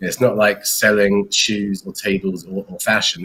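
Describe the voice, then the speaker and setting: A man with an English accent speaks in a fairly low pitch. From England. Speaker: company founder and CEO. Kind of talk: interview. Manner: hesitant, many fillers and repeats.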